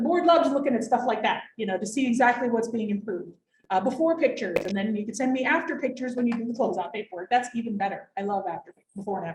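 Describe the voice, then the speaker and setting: A woman talks at a very fast pace in a fairly high voice. Her intonation is lively. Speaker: waste district director presenting grants. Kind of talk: informational workshop presentation.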